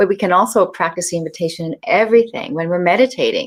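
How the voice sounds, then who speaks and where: At a fairly quick pace, a woman with a plain, everyday voice speaks at medium pitch with ordinary pitch variation. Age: 60s. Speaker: author and tantric teacher. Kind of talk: interview.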